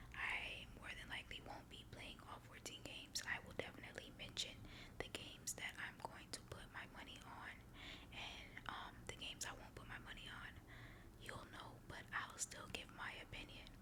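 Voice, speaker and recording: Whispered words come at a moderate pace, with noticeable background noise present. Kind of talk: ASMR ramble. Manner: casual, chatty.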